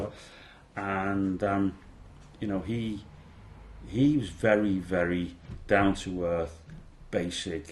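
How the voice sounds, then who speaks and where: Speaking very slowly with long, frequent pauses, a man with a Liverpool accent talks in a very deep, low voice with ordinary pitch variation. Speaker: former police officer. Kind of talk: interview answer.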